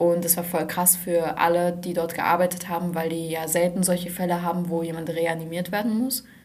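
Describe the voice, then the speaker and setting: A woman speaks with a monotone, flat intonation and hardly any pauses. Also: fairly low pitch for a woman, moderate pace. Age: young. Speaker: hospital volunteer. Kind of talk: casual chat. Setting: studio.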